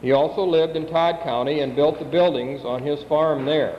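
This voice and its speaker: In an American accent, the speech comes at a fairly quick pace with ordinary pitch variation amid noticeable background noise. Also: man. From US Midwest (South Dakota). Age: 50s. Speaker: family member giving family history. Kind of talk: reading aloud.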